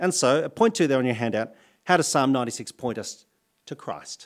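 A man speaks at a fairly quick pace with an Australian accent. His pitch is fairly high, and the recording is very clean with a silent background. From Australia, New South Wales. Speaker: pastor. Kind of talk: sermon. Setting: church.

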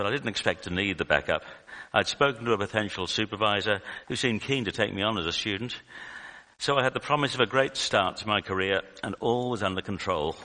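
Talking at a very fast pace, a man has a bright, sharp tone and a fairly low pitch. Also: ordinary pitch variation. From UK. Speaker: lay preacher, retired statistician. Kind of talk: sermon. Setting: church.

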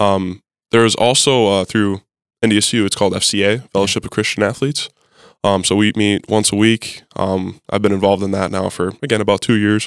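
With an Upper Midwest accent, this voice moves at a fairly quick pace in a monotone, flat intonation, on a very clean recording with a silent background and a dry, close sound with no echo. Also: man, fairly low pitch for a man. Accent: Upper Midwest American. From North Dakota. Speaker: college football player. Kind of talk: casual interview.

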